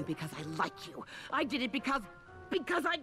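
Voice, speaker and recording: Over clear music in the background, a woman does a cartoonish character voice, high in pitch, with very wide pitch swings and a fairly quick pace. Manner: haughty, sneering.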